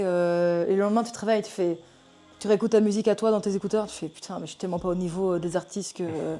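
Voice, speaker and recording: A woman speaks very fast with music in the background. Her pitch varies in an ordinary way, while her loudness swings widely. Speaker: singer. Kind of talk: casual chat. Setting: getting tattooed during podcast recording.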